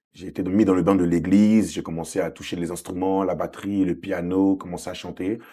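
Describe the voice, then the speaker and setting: A very deep, low-pitched male voice with a dark, mellow tone, in an Ivorian accent, monotone and flat at a moderate pace, on a very clean recording with a silent background. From Côte d'Ivoire (Abidjan), moved to France at seven. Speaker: gospel singer. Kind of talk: interview.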